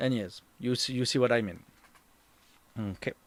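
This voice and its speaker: A man with a French accent, his medium-pitched voice showing ordinary pitch variation. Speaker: tour guide and streamer. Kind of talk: live stream talk. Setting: home. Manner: halting, searching for words.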